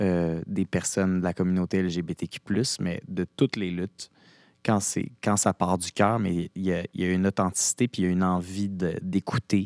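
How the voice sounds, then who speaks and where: A man talks at a fairly slow pace in a very deep, low, monotone voice with flat intonation. The sound is dry and close with no echo, on a very clean recording with a silent background. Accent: Quebec. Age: 30s. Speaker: actor. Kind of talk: casual chat.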